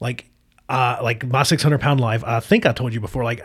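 Talking at a very fast pace, a man uses a medium pitch with ordinary pitch variation and a somewhat breathy sound. The recording is very clean, with a silent background. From Appalachian Virginia, US. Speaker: podcast host. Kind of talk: casual chat. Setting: studio. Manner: casual, profane, rambling.

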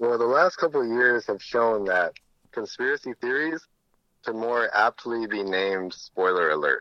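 With an American accent, a man speaks in a plain, everyday voice at medium pitch and a moderate pace, using lively intonation. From United States. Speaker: mechanical engineer, crypto investor. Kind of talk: interview.

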